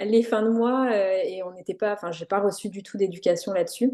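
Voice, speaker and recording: Over a quiet background, a woman with a medium pitch speaks in a dark, mellow tone with fairly even intonation. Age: 30s. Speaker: entrepreneur, brand designer. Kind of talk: podcast interview. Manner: hesitant, many fillers.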